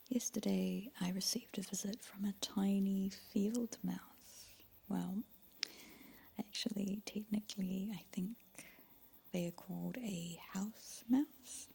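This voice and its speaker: Soft-spoken woman with a gentle, calm, dark, mellow tone, somewhat breathy, very slow, with fairly even intonation. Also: medium pitch for a woman. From New Zealand. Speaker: ASMR creator. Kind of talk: ASMR soft-spoken talk. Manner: soft-spoken, gentle, calm.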